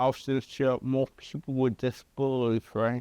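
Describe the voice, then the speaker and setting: A man speaks at a fairly slow pace in a medium-pitched, dark, mellow voice, his intonation monotone and flat, with a dry, close sound and no echo. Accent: Southern US. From Chattanooga, Tennessee. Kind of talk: interview answer.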